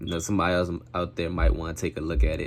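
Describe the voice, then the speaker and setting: Quiet and very deep, a man's low voice moves at a fairly quick pace amid noticeable background noise. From Maryland, US. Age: 20s. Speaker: gaming YouTuber. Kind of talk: self-introduction to camera. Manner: quiet, talking low; casual, slangy.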